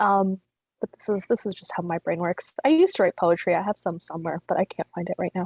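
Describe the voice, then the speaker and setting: The speaker has a Canadian accent and talks at a very fast pace. The sound is dry and close, with no echo. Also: woman, medium pitch for a woman, ordinary pitch variation. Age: 30s. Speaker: comedian. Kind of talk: stand-up. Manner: casual, halting with fillers.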